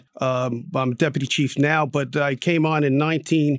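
A man in a New Jersey accent, fairly high-pitched, at a moderate pace with fairly even intonation. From Newark, New Jersey. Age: 60s. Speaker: retired police chief. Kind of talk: radio interview. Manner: halting, many fillers.

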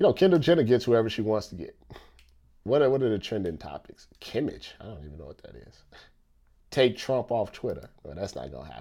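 At a fairly quick pace, a man speaks at a medium pitch with a dark, mellow tone, vocal fry, very wide pitch swings and big swings in loudness. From United States. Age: 30s. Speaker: podcast host and sports commentator. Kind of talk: casual monologue. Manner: animated.

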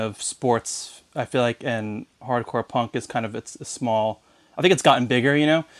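A man with an American accent and a normal speaking voice, medium-pitched, with ordinary pitch variation, in a dry, close sound with no echo. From Long Island, New York. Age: 30s. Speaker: punk band singer and merchandiser. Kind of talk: casual chat.

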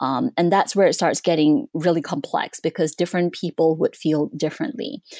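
A woman with a fairly low pitch and a dark, mellow tone speaks at a moderate pace with hardly any pauses, very even loudness and very wide pitch swings. The recording is very clean with a silent background and a dry, close sound with no echo. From Southeast Asia (Malaysia and Singapore). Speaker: history professor and author. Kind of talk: interview about her book.

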